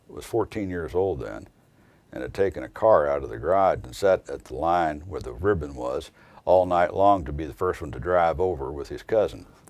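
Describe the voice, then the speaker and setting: With an American accent, a man talks at a moderate pace in a very deep, low pitch marked by vocal fry. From southern Indiana. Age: 60s. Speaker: attorney. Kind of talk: testimony. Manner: casual, conversational with hesitations.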